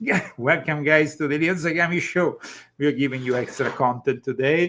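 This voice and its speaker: In an Italian accent, a man speaks at a fairly high pitch with a bright, sharp tone. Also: ordinary pitch variation, moderate pace. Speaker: talk show host. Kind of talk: casual chat. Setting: live stream.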